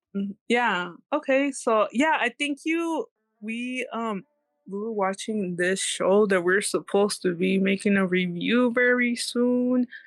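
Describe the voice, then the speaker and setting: A woman speaks fairly slowly at a fairly high pitch, her intonation lively. The sound is dry and close with no echo, and music plays in the background. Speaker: podcast co-host. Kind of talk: casual chat.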